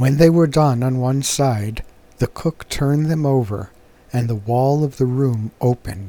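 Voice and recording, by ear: With ordinary pitch variation, the passage is read aloud in a natural voice.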